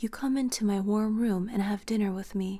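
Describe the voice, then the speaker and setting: A soft-spoken woman with a fairly high pitch talks at a fairly slow pace in a calm, dark, mellow tone. Her delivery is monotone and flat, and somewhat breathy. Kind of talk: softly spoken bedtime story reading. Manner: soft-spoken, calm.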